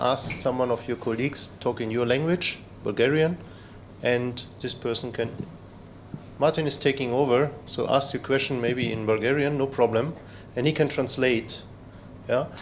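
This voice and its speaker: Speaking with a non-native accent, a man at a medium pitch keeps a moderate pace and fairly even intonation, with long, frequent pauses. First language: not English. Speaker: trainer and former researcher. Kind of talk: lecture. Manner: halting, many fillers.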